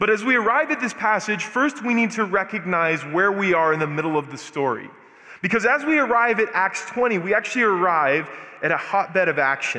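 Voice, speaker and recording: Over noticeable background noise, a man with a high pitch talks at a fairly quick pace in a raised, projected voice with lively intonation. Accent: American. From US Southwest, Albuquerque, New Mexico. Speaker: guest preacher. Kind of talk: sermon. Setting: church.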